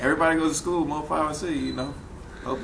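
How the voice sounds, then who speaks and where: A man with an American accent speaks very fast at a fairly high pitch in a monotone, flat intonation. Audible room echo and noticeable background noise are present. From New Orleans, Ninth Ward. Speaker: rapper. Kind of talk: casual interview.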